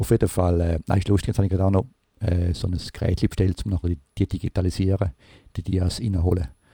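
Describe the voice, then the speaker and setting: Over a silent background in a very clean, dry, close recording with no echo, a man speaks very fast with a very deep, low pitch, a dark, mellow tone, a somewhat breathy quality and fairly even intonation. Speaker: podcast host. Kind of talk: casual chat. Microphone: new recording device.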